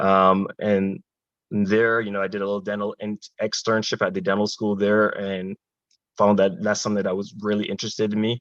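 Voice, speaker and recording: A man with a Barbadian accent speaks at a fairly low pitch in a monotone, flat intonation, with a dry, close sound and no echo. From Barbados. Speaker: dentist and army officer. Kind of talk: panel discussion.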